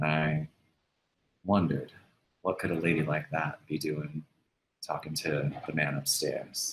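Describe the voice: In a put-on character voice, a man speaks at an extremely low pitch with a husky, rough edge. The pace is fairly slow, with little pitch movement.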